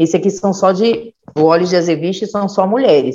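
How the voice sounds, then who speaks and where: Medium pitch and a dark, mellow tone in a woman's voice. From São Bernardo do Campo, São Paulo, Brazil. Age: 40s. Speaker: educator and health administration worker. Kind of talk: podcast conversation. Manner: halting with repetitions.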